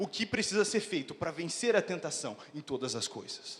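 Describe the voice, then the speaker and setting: A man's high pitch, very wide pitch swings, and animated tone at a fairly quick pace, over noticeable background noise. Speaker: pastor. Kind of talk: sermon.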